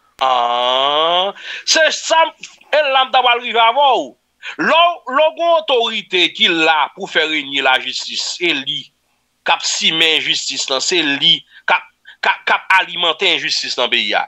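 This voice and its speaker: A man with very wide pitch swings at a fairly slow pace against a quiet background. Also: high pitch for a man. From Haiti. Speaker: news commentator. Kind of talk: news commentary. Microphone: studio mic.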